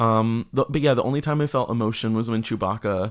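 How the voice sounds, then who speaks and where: A man talks in a normal speaking voice. His pitch is medium, with ordinary variation. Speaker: film podcast guest. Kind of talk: casual chat.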